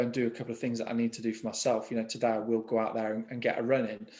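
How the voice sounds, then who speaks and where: A man with an English Midlands accent speaks at a medium pitch. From England, East Midlands (Market Harborough). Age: 30s. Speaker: mortgage broker. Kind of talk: interview conversation. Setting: video call. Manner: hesitant, with frequent fillers and repetitions.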